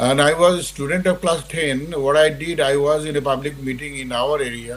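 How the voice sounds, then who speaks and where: A man with a fairly high voice talks at a moderate pace and fairly even intonation over noticeable background noise. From Bangladesh. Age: 70s. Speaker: war veteran. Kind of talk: interview. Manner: halting.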